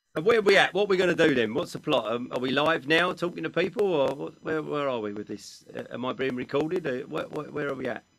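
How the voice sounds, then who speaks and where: Music plays in the background as a man talks very fast at a fairly high pitch with lively intonation. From United Kingdom. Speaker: motivational speaker. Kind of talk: casual talk before a seminar. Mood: amused, unsure if live. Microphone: studio mic.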